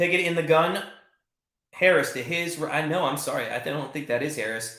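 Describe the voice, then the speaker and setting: A man's raised, projected voice, bright and sharp in tone and animated, with audible room echo. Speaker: sports betting channel host. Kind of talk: live play-by-play commentary on a watch party stream. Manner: fast.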